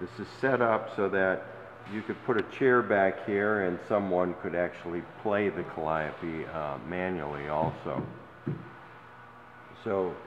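Through audible room echo and light background noise, a man with a very deep, low pitch and ordinary pitch variation speaks at a fairly slow pace, taking long, frequent pauses. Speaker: seller presenting a vehicle. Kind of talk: walkaround sales commentary. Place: hall. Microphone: phone near.

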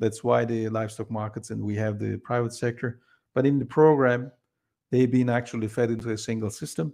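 A man's dark, mellow voice at a medium pitch, fairly quick in pace with fairly even intonation, against a quiet background. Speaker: researcher presenting a study. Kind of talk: work meeting presentation. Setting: video call. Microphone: video call.

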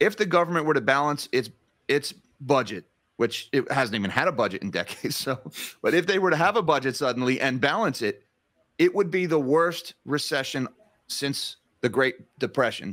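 Over a quiet background, a man with a New Jersey accent talks at a fairly quick pace in a fairly high voice with lively intonation. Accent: New Jersey American. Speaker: finance YouTuber. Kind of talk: interview. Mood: concerned, critical. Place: home room.

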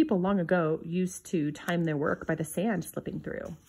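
A somewhat breathy woman's voice at a moderate pace. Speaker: reader of a children's book. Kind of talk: reading aloud a 1950s children's picture book. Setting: home video recording, book shown to camera. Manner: measured, clear pacing suited to children. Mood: gentle storytelling tone. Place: home room. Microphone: phone near.

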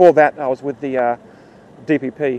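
In an Australian accent, a man of medium pitch speaks with fairly even intonation, the sound dry and close with no echo. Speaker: protester acting as police liaison. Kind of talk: casual conversation with police. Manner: hesitant, polite.

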